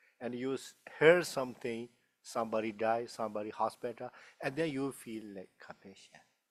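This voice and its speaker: A man speaks at a moderate pace in a Tibetan accent. His loudness swings a lot. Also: medium pitch for a man, ordinary pitch variation. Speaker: Buddhist teacher. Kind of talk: dharma talk Q&A. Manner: halting.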